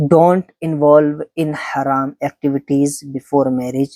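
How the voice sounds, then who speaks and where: The speaker talks at a fairly slow pace in a Pakistani accent. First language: Urdu. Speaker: Islamic speaker. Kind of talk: religious talk. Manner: halting.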